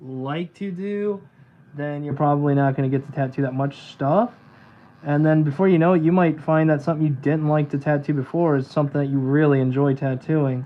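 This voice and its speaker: Fairly quick and fairly high-pitched, a man talks with fairly even intonation. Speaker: tattoo artist. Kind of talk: casual live stream chat. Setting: live stream while tattooing. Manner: sometimes talks quiet. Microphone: microphone far away, fades in and out.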